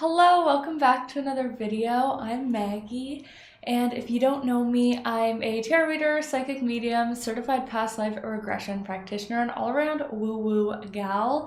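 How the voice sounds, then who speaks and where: With a Canadian accent, a woman talks in a high pitch with ordinary pitch variation and hardly any pauses, and the room echo is audible. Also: moderate pace. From Canada. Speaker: tarot reader and psychic. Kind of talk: casual vlog show-and-tell.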